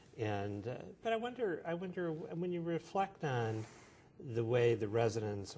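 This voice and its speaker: A man's dark, mellow, somewhat breathy voice at a moderate pace, with very wide pitch swings and light background noise. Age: 60s. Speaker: neurology professor interviewer. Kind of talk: interview. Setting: medical conference. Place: hall.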